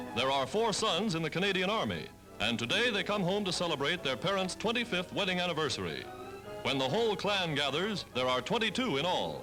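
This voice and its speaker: A man with an American accent talks at a fairly quick pace with a high pitch and very wide pitch swings. Music plays behind him. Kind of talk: 1940s newsreel narration. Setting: archival 1940s film recording. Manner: brisk, authoritative.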